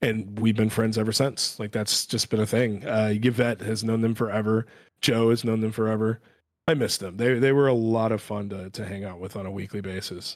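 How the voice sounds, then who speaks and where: Against a silent background in a very clean recording, a man with an unremarkable speaking voice talks at a fairly quick pace, fairly low in pitch with fairly even intonation. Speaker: editor and writer. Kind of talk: casual chat. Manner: self-deprecating, chatty.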